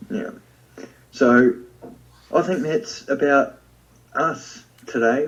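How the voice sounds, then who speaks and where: Speaking with a New Zealand accent, a man uses a fairly high pitch that swings very widely. He talks at a very slow pace with long, frequent pauses, against noticeable background noise. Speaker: podcast co-host. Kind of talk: casual chat.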